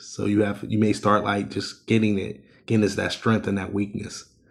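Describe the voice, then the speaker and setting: At a moderate pace, a man speaks at a fairly low pitch in a monotone, flat intonation. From Ohio. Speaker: life coach and author. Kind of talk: casual interview chat.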